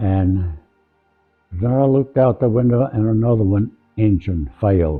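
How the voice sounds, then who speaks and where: Music plays in the background as the speaker talks with ordinary pitch variation. Long, frequent pauses break up the speech. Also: man, fairly low pitch for a man, moderate pace. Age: 80s+. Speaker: war veteran. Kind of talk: interview answer.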